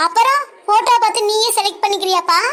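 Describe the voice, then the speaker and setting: A woman does a squeaky, cartoonish character voice at an extremely high pitch. Her pace is moderate, with ordinary pitch variation. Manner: firm, distrustful.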